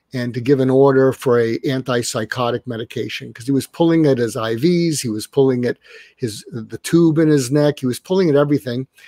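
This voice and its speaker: A man speaks at a moderate pace with fairly even intonation, the sound dry with no echo over a quiet background. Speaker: guest. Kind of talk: interview answer. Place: home room.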